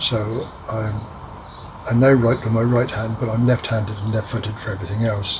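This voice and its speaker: Over noticeable background noise, a man speaks at a medium pitch with monotone, flat intonation, at a fairly quick pace with long, frequent pauses. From southern England, Poole, Dorset. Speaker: elderly father recounting his life. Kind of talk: oral history interview, reminiscing. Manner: hesitant, many fillers.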